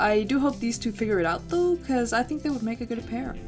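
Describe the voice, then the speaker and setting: A woman speaks with a non-native accent at a fairly quick pace. Music plays in the background. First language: not English. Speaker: YouTuber / artist. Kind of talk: casual game commentary narration. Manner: slight stutter at times.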